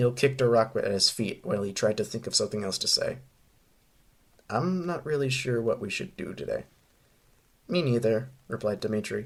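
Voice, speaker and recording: A man's somewhat breathy voice with lively intonation and long, frequent pauses. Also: medium pitch for a man, fairly quick pace. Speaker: fanfiction author reading own story. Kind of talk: reading aloud. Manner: halting.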